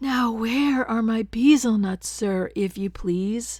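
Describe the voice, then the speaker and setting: Put-on character voice at a fairly slow pace. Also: woman, fairly high pitch for a woman. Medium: read story. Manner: gentle, earnest.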